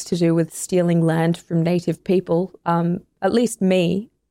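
With an Australian accent, a woman with a dark, mellow tone talks at a moderate pace in a very clean recording, the background silent and the sound dry and close with no echo. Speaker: podcast host. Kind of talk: scripted narration. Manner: animated.

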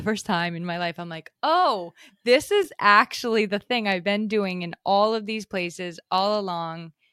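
A woman speaks at a moderate pace in a normal speaking voice. The sound is dry and close with no echo, on a very clean recording with a silent background. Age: 30s. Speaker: content writer and podcast host. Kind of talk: casual chat.

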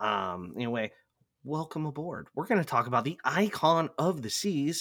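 A man is captured on a very clean recording, with a silent background. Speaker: podcast host. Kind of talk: casual chat. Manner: joking, chatty.

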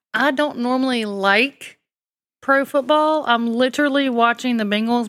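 With a Southern US accent, a woman speaks at a fairly high pitch. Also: very even loudness. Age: 40s. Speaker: true crime podcast co-host. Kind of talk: true crime storytelling.

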